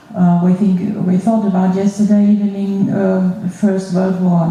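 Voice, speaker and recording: A woman's medium-pitched, monotone voice with flat intonation, over noticeable background noise. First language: German. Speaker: school museum director. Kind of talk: panel talk at a symposium. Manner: halting.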